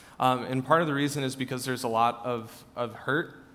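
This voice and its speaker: A man's medium-pitched, normal speaking voice at a fairly quick pace. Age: 20s. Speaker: church staff member. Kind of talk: church Q&A session. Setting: church service with congregation.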